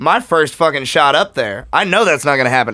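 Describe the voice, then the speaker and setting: A man speaks with lively intonation, a bright, sharp tone and vocal fry. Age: 30s. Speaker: comedian. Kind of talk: casual chat. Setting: studio.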